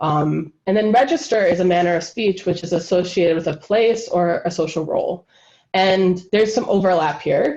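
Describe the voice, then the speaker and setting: A woman with ordinary pitch variation talks at a moderate pace, her tone dark and mellow. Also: medium pitch for a woman. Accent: Wisconsin. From US Midwest, Wisconsin. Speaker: linguistic anthropologist. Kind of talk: lecture. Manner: casual, many fillers.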